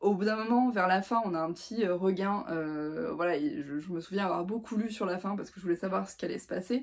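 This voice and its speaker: At a medium pitch, the woman talks with ordinary pitch variation. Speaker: book reviewer. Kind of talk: casual vlog book review. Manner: fast; hesitant, many fillers.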